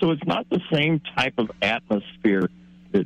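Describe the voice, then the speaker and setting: A man talks at a moderate pace in an ordinary speaking voice. The sound is dry and close, with no echo. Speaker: auto service shop owner. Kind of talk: casual chat.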